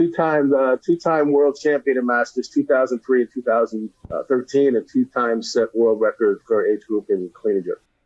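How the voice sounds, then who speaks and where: A plain, everyday voice with an American accent, at a moderate pace with ordinary pitch variation, in a dry, close sound with no echo. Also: man. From Connecticut, Stamford. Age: 60s. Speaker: weightlifting coach. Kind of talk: podcast interview. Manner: conversational, with many fillers.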